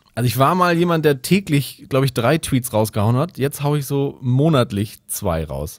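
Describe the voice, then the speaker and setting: A man with an ordinary speaking voice at a fairly quick pace and ordinary pitch variation, on a very clean recording with a silent background. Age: 30s. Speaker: comedy writer. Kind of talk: casual chat.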